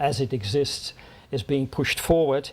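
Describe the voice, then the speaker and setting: A man's fairly high-pitched voice, ordinary pitch variation, moderate pace. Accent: Dutch. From Netherlands. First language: Dutch. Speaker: diplomat. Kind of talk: speech. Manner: halting.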